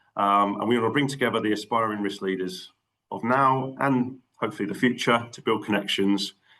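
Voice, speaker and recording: A man's fairly low voice with a Cockney accent and ordinary pitch variation. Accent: London Cockney. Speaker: network meeting chair. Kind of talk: online meeting. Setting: video call. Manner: fast.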